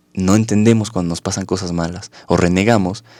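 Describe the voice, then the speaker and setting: A man with a very deep, low voice talks at a fairly quick pace with ordinary pitch variation. The recording is very clean, with a silent background and a dry, close sound with no echo. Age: 20s. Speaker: psychologist and life coach. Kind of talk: interview.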